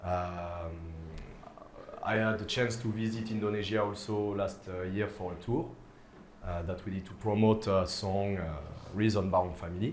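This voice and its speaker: With a French accent, a man with a fairly low pitch speaks with fairly even intonation and long, frequent pauses amid noticeable background noise and audible room echo. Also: moderate pace. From France. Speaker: DJ. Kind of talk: casual interview chat. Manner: hesitant, many fillers.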